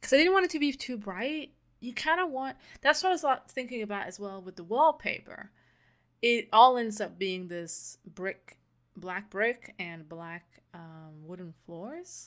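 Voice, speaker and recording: Speaking with a non-native accent, a woman uses a fairly high pitch at a fairly slow pace. Her pitch swings very widely and her loudness swings a lot, in a very clean recording with a silent background. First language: not English. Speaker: gaming YouTuber. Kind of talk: casual voice-over commentary.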